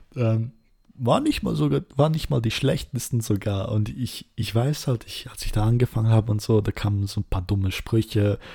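A man speaks at medium pitch and a moderate pace, with a dark, mellow tone and ordinary pitch variation. His voice is somewhat breathy, and the recording is very clean with a silent background. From Switzerland, Serbian roots. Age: 20s. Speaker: podcast host, cosplayer. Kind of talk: casual monologue.

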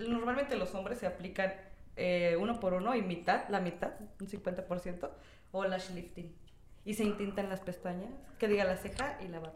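Speaking at a moderate pace with a medium pitch and ordinary pitch variation, a woman is heard with audible room echo and noticeable background noise. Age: 20s. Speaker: lash technician. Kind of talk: casual chat.

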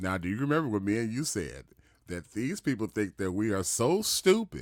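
Animated and lively in intonation, a man talks fairly quickly at a fairly low pitch in a very clean recording with a silent background. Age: 40s. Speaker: podcast host. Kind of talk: casual chat.

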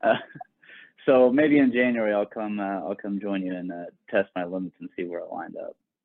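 A man talks at a very fast pace, his fairly low voice showing ordinary pitch variation. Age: 30s. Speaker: podcast co-host. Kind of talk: casual interview.

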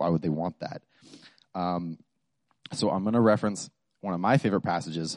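Mumbling at a fairly quick pace with long, frequent pauses, a man with a very deep, low pitch and ordinary pitch variation is heard in a dry, close sound with no echo. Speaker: student devotional speaker. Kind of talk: devotional talk. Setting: microphone to small audience. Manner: halting.

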